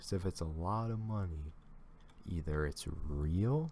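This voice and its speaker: A man speaks at a very slow pace in a dark, mellow tone, somewhat breathy, with ordinary pitch variation. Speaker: reaction video creator. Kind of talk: reaction commentary.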